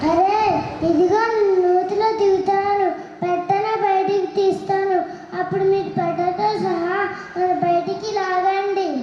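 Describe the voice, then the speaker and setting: A put-on character voice, squeaky and extremely high, moves at a fairly slow pace. Clear echo and clear background noise are present. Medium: stage play. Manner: sly.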